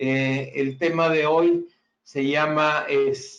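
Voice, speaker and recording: The voice belongs to a man. It sits fairly high in pitch. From Mexico. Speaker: engineer, regional sales manager. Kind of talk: webinar presentation. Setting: online webinar. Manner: hesitant with frequent fillers.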